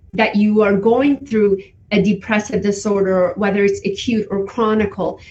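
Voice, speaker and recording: A woman speaks in a fairly high register. She has a non-native accent. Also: very even loudness. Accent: foreign. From Iran. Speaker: forensic psychology educator. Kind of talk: guest talk.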